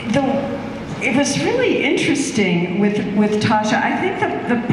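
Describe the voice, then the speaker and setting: A woman's voice in strong room echo over noticeable background noise. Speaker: actor guest on stage panel. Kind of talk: interview answer. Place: stage.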